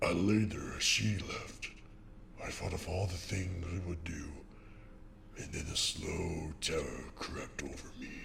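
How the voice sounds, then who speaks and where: Against clear background noise, a man does a put-on character voice with a very deep, low pitch, a fairly slow pace and long, frequent pauses. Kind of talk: fan comic dub.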